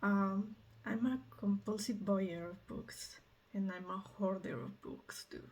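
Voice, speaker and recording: Speaking very slowly, a woman with a Mexican accent has a somewhat breathy, medium-pitched voice whose loudness swings widely. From Mexico. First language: Spanish. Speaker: medical student vlogger. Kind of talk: casual vlog. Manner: halting, with fillers.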